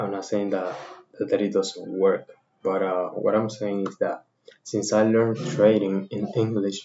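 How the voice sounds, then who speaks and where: A man talks with a fairly low pitch at a fairly slow pace. His intonation is monotone and flat. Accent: Spanish. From Dominican Republic. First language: Spanish. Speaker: trading content creator. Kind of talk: tutorial. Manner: halting.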